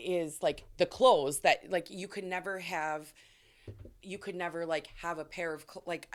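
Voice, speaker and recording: Speaking at a fairly slow pace, a woman keeps a fairly even intonation while her loudness swings a lot. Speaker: podcast co-host. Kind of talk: casual chat.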